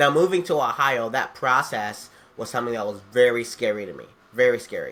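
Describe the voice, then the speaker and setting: The speaker is a man with a medium pitch and a bright, sharp tone. He talks at a fairly quick pace with ordinary pitch variation. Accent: American. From Detroit, Michigan. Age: 20s. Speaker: youth pastor. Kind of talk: personal testimony, casual talk to camera.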